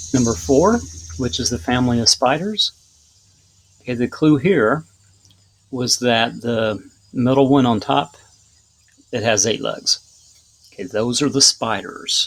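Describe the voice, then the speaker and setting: A man speaks at a medium pitch, with lively intonation. He leaves long, frequent pauses. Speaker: teacher. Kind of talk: tutorial. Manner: fast.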